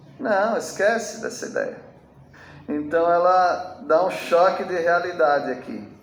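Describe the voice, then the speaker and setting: Talking at a very slow pace, a man with a high pitch and ordinary pitch variation is heard with audible room echo. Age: 60s. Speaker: pastor. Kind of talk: sermon. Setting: church with congregation. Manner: conversational, animated.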